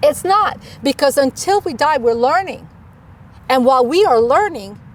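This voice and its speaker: Over noticeable background noise, a woman speaks in an animated tone at a moderate pace, her high-pitched voice making very wide pitch swings. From Romania. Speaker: doctor and speaker. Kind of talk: interview. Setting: in person, face to face.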